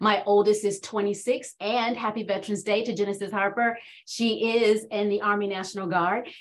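A woman with an American accent, flat monotone delivery at a moderate pace, and noticeable background noise. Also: medium pitch for a woman. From Washington, D.C., with North Carolina grandparents. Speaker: executive coach. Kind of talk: casual chat.

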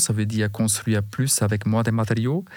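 With a German accent, a man speaks at a medium pitch with fairly even intonation. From Bavaria, Germany. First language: German (speaking French). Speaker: building materials executive. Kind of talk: interview. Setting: studio.

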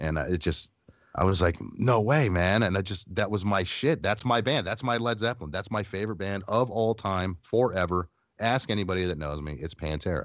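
An ordinary speaking voice from a man with an American accent, fairly low in pitch, with lively intonation at a fairly quick pace. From Phoenix, Arizona. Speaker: rock radio host. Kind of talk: casual chat.

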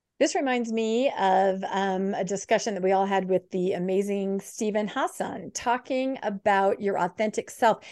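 A woman's normal speaking voice at medium pitch, ordinary pitch variation and a moderate pace, hardly any pauses, over a quiet background. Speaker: book club host. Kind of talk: online group discussion. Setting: video call.

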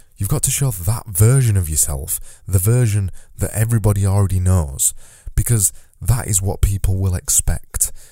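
A man speaks in a fairly low, somewhat breathy voice with a dark, mellow tone. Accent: Yorkshire. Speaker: podcast host. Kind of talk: solo podcast monologue. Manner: casual, conversational.

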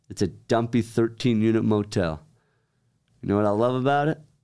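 On a very clean recording with a silent background, a man with an American accent speaks at a moderate pace, using a medium pitch and ordinary pitch variation. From Utah (Centerville). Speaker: real estate investor. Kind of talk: casual chat. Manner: animated.

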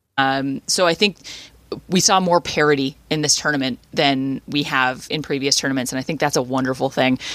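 With a Canadian accent, a woman speaks at a moderate pace in a very deep, low pitch and fairly even intonation. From Canada. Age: 30s. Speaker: sports radio host. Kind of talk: casual chat.

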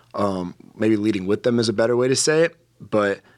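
A man with an American accent speaks at a fairly low pitch and a moderate pace. He has an ordinary speaking voice with ordinary pitch variation. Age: 20s. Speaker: young adult pastor. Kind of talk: interview. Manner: casual with fillers and repetitions.

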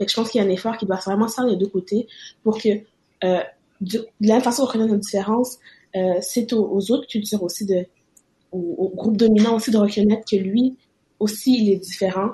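A woman with a dark, mellow, somewhat breathy tone and fairly high pitch talks at a fairly quick pace with fairly even intonation, broken by long, frequent pauses. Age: 20s. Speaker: student. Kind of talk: casual chat.

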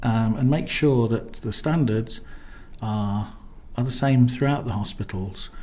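The voice is somewhat breathy with a dark, mellow tone and ordinary pitch variation. It moves at a fairly slow pace, with audible room echo. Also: man, medium pitch for a man. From Coventry, England. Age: 40s. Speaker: nurse. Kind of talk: interview. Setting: studio. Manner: hesitant, many fillers.

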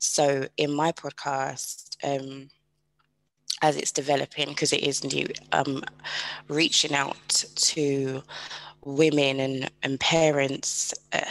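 In a British accent, a woman speaks at a very deep, low pitch with monotone, flat intonation. Her pace is very slow, broken by long, frequent pauses. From UK. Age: 30s. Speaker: podcast host, single mother. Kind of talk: casual interview chat.

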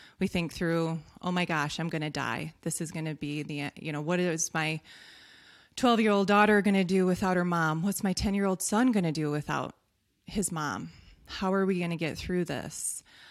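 At a moderate pace, a woman with a plain, everyday voice speaks in a fairly low pitch with ordinary pitch variation, on a very clean recording with a silent background. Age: 40s. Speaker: occupational therapist and health business founder. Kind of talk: interview.

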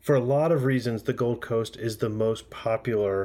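An ordinary speaking voice, a man talks at a fairly slow pace and medium pitch with an American accent. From US, Florida. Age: 30s. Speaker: podcast host. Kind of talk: scripted narration; casual chat.

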